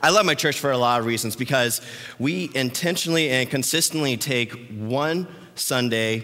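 Amid audible room echo, a man with a medium pitch talks in an animated tone with lively intonation at a fairly slow pace. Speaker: youth pastor. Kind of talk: sermon. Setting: church.

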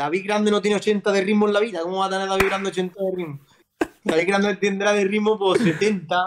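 A man speaks at a fairly quick pace in a high pitch, his intonation fairly even, with noticeable background noise. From Andalusia, Spain (Almería); Andalusia, Spain. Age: 30s. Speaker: footballer; guest. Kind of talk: casual chat. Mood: relaxed, joking. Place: home room. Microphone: video call.

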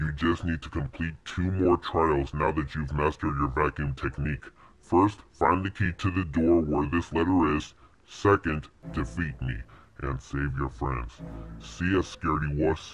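A man puts on a character voice pitched very deep and low, speaking at a moderate pace. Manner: menacing, taunting.

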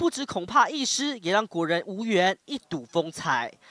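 A man with a high pitch speaks at a moderate pace, with very wide pitch swings. The sound is dry and close, with no echo. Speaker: TV news reporter. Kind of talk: news report narration. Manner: formal.

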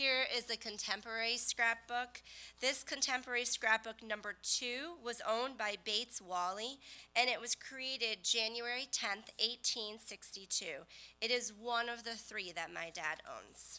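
A woman talks in a plain, everyday voice, fairly high in pitch with ordinary pitch variation. Her pace is fairly slow. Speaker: co-presenter. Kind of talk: presentation. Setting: stage with audience. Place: hall.

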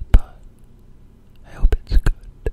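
The voice belongs to a man who whispers. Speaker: student. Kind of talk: ASMR whisper video talking to audience. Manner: whispered, soft-spoken.

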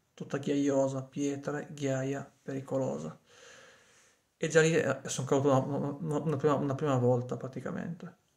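Over a quiet background, a man with a fairly high pitch and fairly even intonation speaks at a moderate pace with long, frequent pauses. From Piedmont, Cuneo province; Piedmont. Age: 30s. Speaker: vlogger. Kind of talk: casual monologue to a friend. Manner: halting, with frequent repetitions. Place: home room. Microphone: phone near.

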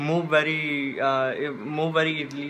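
Over light background noise, the voice moves at a very slow pace with monotone, flat intonation. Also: man. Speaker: book vlogger. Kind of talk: casual talk to camera. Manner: stutter. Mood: relaxed, a bit regretful. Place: home room. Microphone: phone near.

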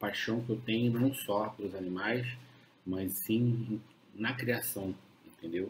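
Over light background noise, a man with a fairly low pitch talks at a very slow pace, leaving long, frequent pauses. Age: 40s. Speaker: dog breeder. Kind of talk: casual live stream chat. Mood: calm, reflective. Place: home room. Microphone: webcam.

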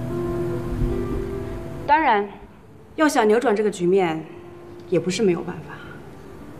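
Over clear music in the background, a woman speaks at a very slow pace with big swings in loudness. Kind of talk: scripted drama dialogue. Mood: calm, persuasive, slightly scheming. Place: cafe.

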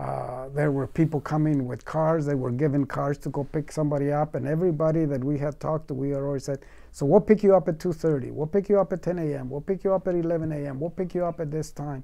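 Speaking at a very fast pace with hardly any pauses, a man uses fairly even intonation, a fairly high pitch and a dark, mellow tone. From Mexico. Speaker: farmworker movement organizer. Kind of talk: oral history interview answer. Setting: interview recording. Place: studio.

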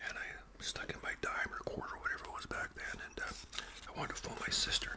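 The speech moves at a fairly quick pace. Loud background noise runs underneath. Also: man. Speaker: storyteller. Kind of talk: casual vlog chat while eating. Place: home room. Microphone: webcam.

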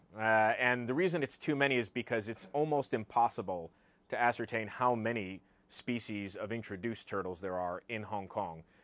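A man with an American accent, a moderate pace, ordinary pitch variation and a dry sound with no echo. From US South, southern Virginia. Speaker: wildlife author and herpetologist; guest. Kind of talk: presentation to live audience. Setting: bookshop with live audience. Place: shop. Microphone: lapel.

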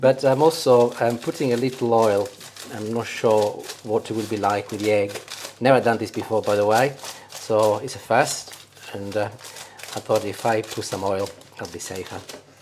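A fairly low-pitched man talks at a moderate pace with fairly even intonation. Long, frequent pauses break up his speech, and there is light background noise. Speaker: home cook host. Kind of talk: tutorial. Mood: jovial, laughing. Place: kitchen. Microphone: lapel.

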